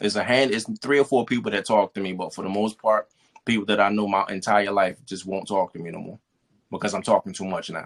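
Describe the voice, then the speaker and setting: An unremarkable speaking voice at a fairly quick pace. The intonation stays fairly even, and the sound is dry and close with no echo. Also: man. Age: 40s. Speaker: spoken word artist. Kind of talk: interview testimony.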